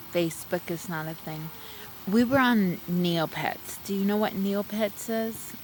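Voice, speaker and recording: A woman with a Texan accent at a very slow pace, against noticeable background noise. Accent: Texan, light twang. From Texas. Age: 40s. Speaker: streamer. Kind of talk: casual chat. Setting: outdoors.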